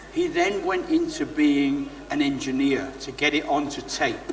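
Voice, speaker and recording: A man is speaking. Noticeable background noise and audible room echo are present. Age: 60s. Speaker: former recording studio engineer. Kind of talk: interview at a live event. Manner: animated.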